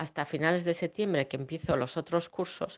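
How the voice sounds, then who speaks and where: Over a quiet background, a woman talks at a fairly quick pace. Her pitch is fairly low, with ordinary variation. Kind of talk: casual chat. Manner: halting, many fillers.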